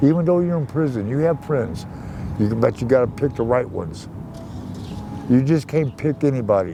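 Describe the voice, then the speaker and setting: Against noticeable background noise, a man with an American accent speaks at a moderate pace in a medium pitch with lively intonation and long, frequent pauses. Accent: US regional working-class. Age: 60s. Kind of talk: casual interview. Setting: outdoors.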